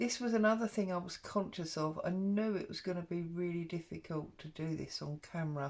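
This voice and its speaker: With an English accent, a woman talks at a fairly quick pace with hardly any pauses, her fairly low pitch varying in an ordinary way. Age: 50s. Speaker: craft vlogger. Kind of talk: craft tutorial. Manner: casual, chatty.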